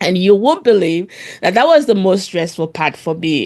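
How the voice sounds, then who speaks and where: At a fairly slow pace, a woman talks at a medium pitch with very wide pitch swings. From Sierra Leone. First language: Krio (Sierra Leone Creole). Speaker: podcast co-host. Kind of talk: casual chat. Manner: halting, many fillers and repeats.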